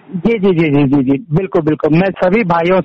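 Against noticeable background noise, a man speaks high for a man with ordinary pitch variation. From Uttarakhand, Pauri Garhwal. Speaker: entrepreneur. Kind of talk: interview.

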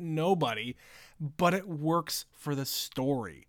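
This man's pitch sits fairly high, with lively intonation. He uses an ordinary speaking voice. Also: very clean recording, silent background. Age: 30s. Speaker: podcast co-host. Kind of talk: casual chat.

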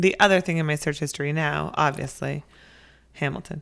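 A woman with a very deep, low voice and vocal fry speaks at a fairly quick pace with fairly even intonation. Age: 30s. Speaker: podcast co-host, working parent. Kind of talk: casual chat.

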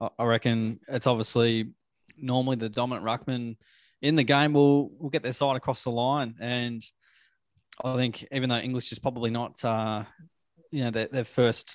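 A medium-pitched man with an Australian accent, monotone and flat in intonation at a moderate pace, in a dry, close sound with no echo and a very clean recording with a silent background. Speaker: football podcast co-host. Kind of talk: casual chat.

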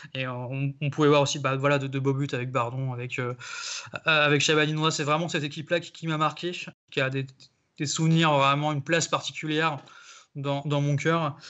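Delivery is flat and monotone, with long, frequent pauses. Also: man, fairly high pitch for a man, moderate pace. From Brittany, France (Saint-Malo). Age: 30s. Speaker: football supporter. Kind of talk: casual chat. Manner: halting, repeats words.

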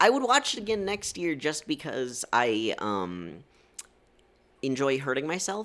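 This man talks loudly at a fairly slow pace, his pitch fairly high. His voice swings very widely in pitch. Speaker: podcast co-host. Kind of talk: casual chat.

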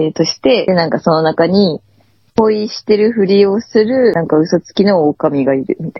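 Delivered at a moderate pace, an unremarkable speaking voice carries lively intonation and big swings in loudness. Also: woman, medium pitch for a woman. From Tohoku, Aomori Prefecture. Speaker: podcast co-host. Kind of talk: casual chat.

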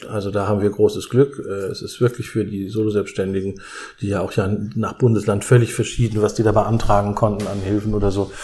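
Monotone, flat intonation marks this man's speech. He talks at a fairly quick pace. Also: fairly low pitch for a man. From southwestern Germany. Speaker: theatre director. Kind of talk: interview while cooking.

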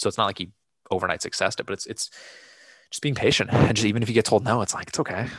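At a very fast pace but with long, frequent pauses, a man speaks at a medium pitch with fairly even intonation. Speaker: podcast co-host. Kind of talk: casual chat.

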